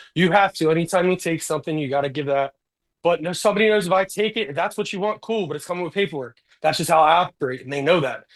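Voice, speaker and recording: With an American accent, a man talks at a very fast pace and a high pitch with ordinary variation. The background is quiet. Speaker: prison sergeant. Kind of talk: casual chat.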